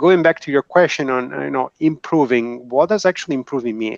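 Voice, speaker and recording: Speaking with an Italian accent, a man talks at a fairly quick pace and medium pitch with ordinary pitch variation. The sound is dry and close with no echo, over a quiet background. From Italy. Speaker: engineer, video tech industry panelist. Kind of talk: panel discussion. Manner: hesitant, with fillers.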